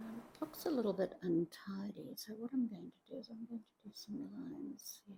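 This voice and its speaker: A somewhat breathy woman's voice, fairly high in pitch with a dark, mellow tone, ordinary pitch variation, a moderate pace, big swings in loudness and hardly any pauses. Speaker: art tutor. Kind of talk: tutorial.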